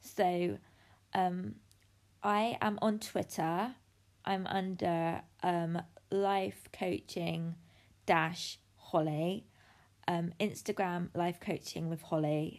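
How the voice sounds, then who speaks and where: A woman with a British accent and a fairly low pitch, very slow pace with long, frequent pauses, in a very clean recording with a silent background. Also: ordinary pitch variation. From United Kingdom. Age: 30s. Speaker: life coach. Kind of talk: podcast monologue.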